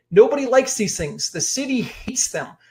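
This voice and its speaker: The man has a dark, mellow tone. His pace is fairly quick. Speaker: real estate investing educator. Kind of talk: webinar presentation. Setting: online webinar. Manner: fast; animated.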